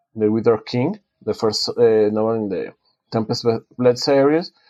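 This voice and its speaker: Against a quiet background, a man with a Spanish accent talks at a moderate pace with ordinary pitch variation. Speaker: author and design professor. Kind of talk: podcast interview. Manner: halting, many self-corrections.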